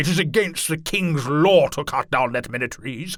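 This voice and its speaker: A man growls in a put-on character voice. He keeps a moderate pace. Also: fairly high pitch for a man. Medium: read story. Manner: commanding, curt.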